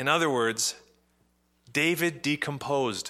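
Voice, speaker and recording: A man's fairly high, bright, sharp voice with a Canadian accent, on a very clean recording with a silent background. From Canada, Ottawa. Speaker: pastor. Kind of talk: sermon.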